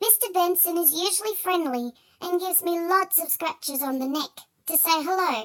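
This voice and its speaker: In a put-on character voice, the speaker sounds squeaky at an extremely high pitch. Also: moderate pace. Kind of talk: children's story narration. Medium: read story. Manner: earnest, storytelling.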